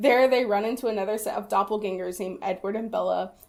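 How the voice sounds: Pitch moves up and down an ordinary amount. The voice is a natural reading voice.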